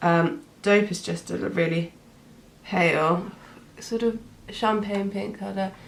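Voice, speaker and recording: A woman with a British accent at medium pitch, with ordinary pitch variation, a very slow pace, and long, frequent pauses. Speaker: beauty vlogger. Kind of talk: tutorial. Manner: casual, hesitant with many fillers.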